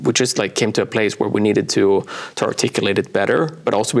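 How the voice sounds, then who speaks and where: A man talks at a very fast pace in a Swedish accent. Noticeable background noise runs underneath. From Sweden, small coastal town. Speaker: brand designer and author. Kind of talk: interview. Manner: hesitant, many fillers.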